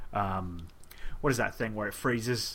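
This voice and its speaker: A man with a fairly low pitch speaks in a bright, sharp tone. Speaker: podcast host. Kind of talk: casual chat.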